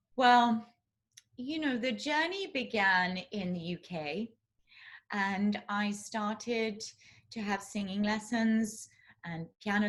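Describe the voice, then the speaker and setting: At a very slow pace, a woman with a southern English accent speaks in a medium pitch with ordinary pitch variation. Her voice is somewhat breathy. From southeast England. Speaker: classical crossover singer. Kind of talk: interview answer.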